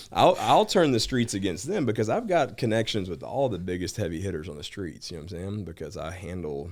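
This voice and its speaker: At a fairly quick pace and with hardly any pauses, a man with a fairly low voice uses lively intonation. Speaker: bounty hunter. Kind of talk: casual chat. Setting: studio. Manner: casual, filler-heavy.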